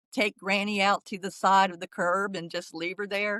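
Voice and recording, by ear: A woman with a medium-pitched, bright, sharp tone speaks at a moderate pace with little pitch movement, the sound dry and close with no echo.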